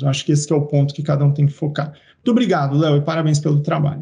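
Dark, mellow tone from a man, fairly high in pitch and somewhat breathy. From Brazil, interior of São Paulo state (Araraquara). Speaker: university professor and geneticist. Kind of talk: casual interview. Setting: video podcast.

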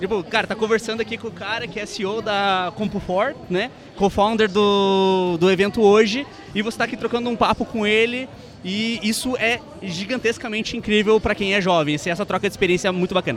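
A man with a high pitch talks at a fairly quick pace in fairly even intonation. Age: young. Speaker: podcast co-host. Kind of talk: casual interview. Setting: live event.

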